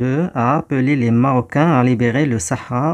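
This is a plain, everyday voice with ordinary pitch variation at a moderate pace. The background is quiet. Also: man. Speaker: teacher. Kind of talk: tutorial.

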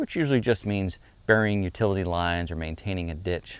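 A man at a fairly quick pace, dry sound with no echo. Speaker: property channel host. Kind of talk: casual vlog chat. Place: street.

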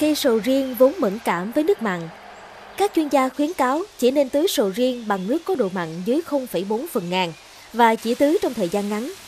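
Backed by music, a woman talks at a moderate pace in a high voice with very wide pitch swings. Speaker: news presenter. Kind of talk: news reading. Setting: studio.

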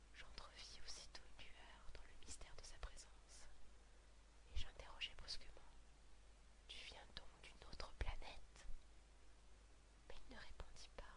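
Whispering and soft-spoken, this voice moves at a fairly slow pace with big swings in loudness and long, frequent pauses. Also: woman. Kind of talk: whispered book reading, relaxation / sleep. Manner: whispered, soft.

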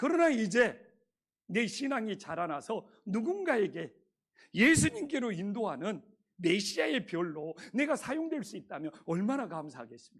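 Swinging very widely in pitch, a man talks high for a man at a fairly slow pace. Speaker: pastor. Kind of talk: sermon.

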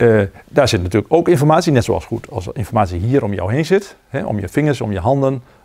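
A man speaks very fast with very wide pitch swings. His tone is dark and mellow against a quiet background. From Netherlands. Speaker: zen teacher. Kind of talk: dharma talk. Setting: meditation retreat with audience. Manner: halting. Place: hall.

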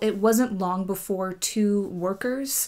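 With a quiet background, a woman speaks with ordinary pitch variation. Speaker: travel vlogger. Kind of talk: casual vlog chat. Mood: light, amused. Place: home room.

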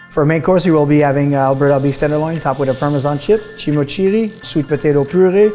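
A man's voice with ordinary pitch variation over faint background music. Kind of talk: promotional interview. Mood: proud, warm. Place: kitchen. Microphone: lapel.

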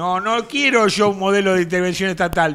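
With a bright, sharp tone, a man talks at a moderate pace in a high voice. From Argentina. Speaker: political commentator; talk show panelist. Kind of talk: casual chat. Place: studio. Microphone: studio mic.

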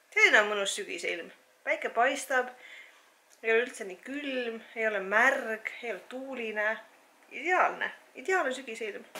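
A woman's high-pitched voice with lively intonation and big swings in loudness. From Estonia, Viljandi; Estonia. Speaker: fitness vlogger. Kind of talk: vlog. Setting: outdoors. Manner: animated. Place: home room. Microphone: phone near.

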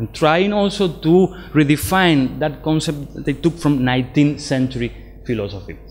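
Music plays behind a man with a Spanish accent whose fairly high pitch shows ordinary variation. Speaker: philosophy lecturer. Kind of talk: lecture. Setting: lecture room with small audience. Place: hall.

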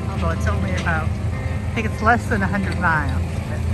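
Loud music plays behind a man speaking at a fairly quick pace. The sound is dry with no echo. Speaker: travel vlogger. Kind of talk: casual vlog narration. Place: open country. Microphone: phone near.

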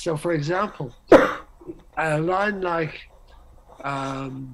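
With vocal fry in a fairly bright tone, a man speaks at a fairly high pitch for a man and ordinary pitch variation.

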